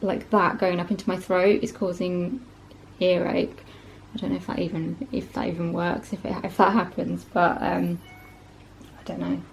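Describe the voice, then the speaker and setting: Against noticeable background noise, a woman talks at a moderate pace, leaving long, frequent pauses. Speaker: vlogger. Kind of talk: casual vlog talk to camera. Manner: hesitant, many fillers.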